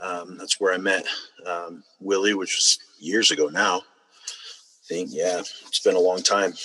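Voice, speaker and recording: A man with an American accent at a fairly slow pace, noticeable background noise behind him. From Utah. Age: 30s. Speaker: person in addiction recovery. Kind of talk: personal testimony. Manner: halting with many fillers.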